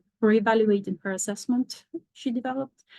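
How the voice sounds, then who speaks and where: A woman with a non-native accent speaks at a moderate pace, her fairly high pitch held to fairly even intonation. The sound is dry and close with no echo, over a quiet background. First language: not English. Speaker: professor. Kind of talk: lecture.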